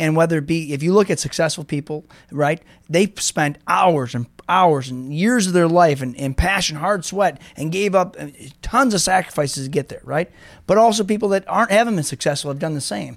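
With an American accent, this speaker talks at a fairly quick clip using lively intonation. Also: man, high pitch for a man. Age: 40s. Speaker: car dealership owner. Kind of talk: casual interview.

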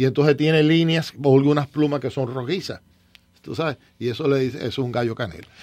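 A fairly high-pitched man in a plain, everyday voice, fairly quick, with ordinary pitch variation. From eastern Cuba, Las Tunas. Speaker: city commissioner. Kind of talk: radio talk show interview.

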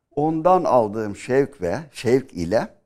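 This man has an ordinary speaking voice at medium pitch, with lively intonation, on a very clean recording with a silent background. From Aegean Turkey (Milas, Muğla). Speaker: history professor. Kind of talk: interview. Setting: studio.

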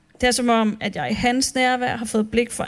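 A woman talks in a high voice at a fairly slow pace. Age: 30s. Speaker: church speaker. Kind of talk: sermon.

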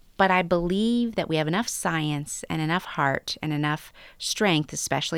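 Using a normal speaking voice with an American accent, a woman speaks at a moderate pace, her fairly low pitch showing ordinary variation, on a very clean recording with a silent background. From western North Carolina. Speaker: public health research director. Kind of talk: interview.

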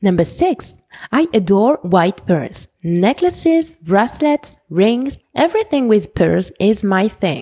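Pitch swings very widely as a woman with a French accent talks at a very slow pace. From France. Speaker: fashion podcaster. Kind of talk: scripted podcast monologue.

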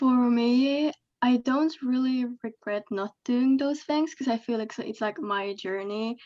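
A woman's high voice with a dark, mellow tone moves at a fairly slow pace with ordinary pitch variation. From Sweden. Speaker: adoptee guest. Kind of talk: casual chat.

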